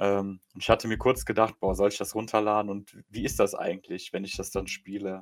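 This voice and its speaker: Dry and close with no echo, this recording has a man speaking at a moderate pace. He has an ordinary speaking voice with a fairly low pitch. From Germany, Polish parents. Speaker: podcast co-host and streamer. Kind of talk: casual chat.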